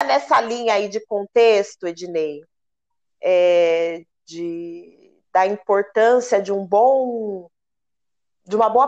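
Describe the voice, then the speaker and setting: A woman talks at a very slow pace with a medium-pitched voice. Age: 30s. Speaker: radio host and samba flag-bearer dancer. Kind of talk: radio interview.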